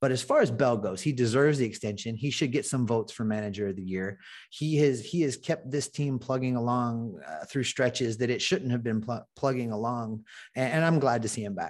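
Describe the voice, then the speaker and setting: In an American accent, a man with a normal speaking voice talks fairly quickly at medium pitch with ordinary pitch variation over a quiet background. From Ohio, US Midwest. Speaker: baseball podcaster. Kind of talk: casual chat.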